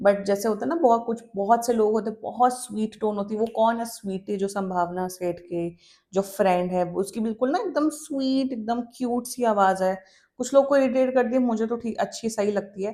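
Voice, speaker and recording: A woman speaks in a dark, mellow tone with ordinary pitch variation. Her pace is moderate, with hardly any pauses. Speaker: tarot reader. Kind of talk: tarot reading monologue. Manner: casual, hesitant with fillers.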